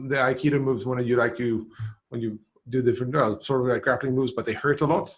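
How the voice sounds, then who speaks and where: Somewhat breathy and delivered in a flat monotone, the speech races along at a very fast pace. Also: man, medium pitch for a man. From Sweden, island of Gotland. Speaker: CRM professional. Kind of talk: casual interview chat.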